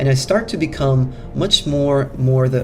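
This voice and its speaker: The voice carries a non-native accent. Background noise is noticeable. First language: not English. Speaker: self-help coach. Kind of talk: motivational talk. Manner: halting.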